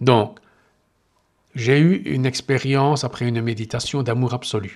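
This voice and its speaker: The man's pitch is medium and his intonation fairly even. He speaks at a fairly slow pace. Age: 60s. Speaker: meditation podcaster. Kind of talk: personal monologue. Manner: halting.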